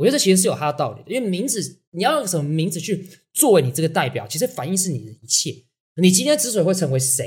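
A man talks at a very fast pace with a Taiwanese accent. His pitch is high and swings very widely. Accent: Taiwanese Mandarin. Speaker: podcast co-host, marketing speaker. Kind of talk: casual chat.

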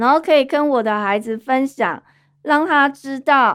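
The recording is very clean with a silent background as a woman speaks high-pitched at a fairly slow pace. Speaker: podcast host. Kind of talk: casual monologue.

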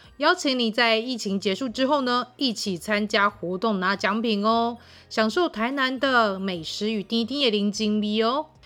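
Lively intonation marks this woman's fairly slow speech. Her fairly high pitch has a bright, sharp tone. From Taiwan, Tainan (Wanli). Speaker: podcast host. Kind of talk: casual monologue.

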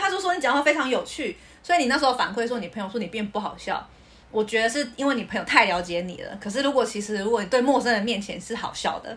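A woman at a very fast pace. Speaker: podcast co-host. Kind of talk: casual chat. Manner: laughs easily.

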